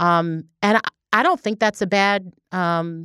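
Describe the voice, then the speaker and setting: A woman's unremarkable speaking voice, fairly low in pitch, with ordinary pitch variation and an American accent, in a dry, close sound with no echo and a very clean recording over a silent background. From Baltimore, Maryland. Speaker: district attorney. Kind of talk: interview.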